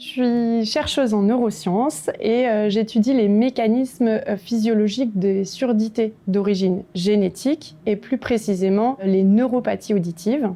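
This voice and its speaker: Over noticeable background noise, a woman speaks fairly slowly at a fairly high pitch, with ordinary pitch variation, hardly any pauses and very even loudness. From France, Bresse (Ain). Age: 30s. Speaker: neuroscience researcher. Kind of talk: prepared video testimony. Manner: hesitant, frequent fillers.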